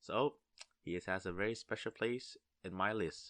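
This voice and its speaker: A man's bright, sharp tone with a Vietnamese accent, dry and close with no echo, against a quiet background. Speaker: gamer and video maker. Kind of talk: casual commentary. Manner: halting.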